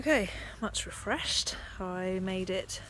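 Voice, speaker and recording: A woman speaks with an English accent. There is noticeable background noise. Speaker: cycling vlogger. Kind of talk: vlog monologue while riding. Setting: outdoors on a bike.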